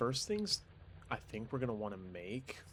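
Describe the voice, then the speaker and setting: Quiet whispering. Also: man. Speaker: gaming YouTuber. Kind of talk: gameplay commentary. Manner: quiet, near whisper; casual.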